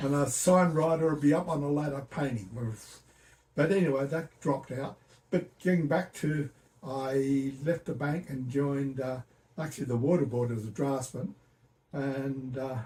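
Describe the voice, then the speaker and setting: Speaking with an Australian accent, a man with a fairly high, somewhat breathy voice keeps a moderate pace and ordinary pitch variation. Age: 80s+. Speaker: retired computer engineer. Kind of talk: interview answer.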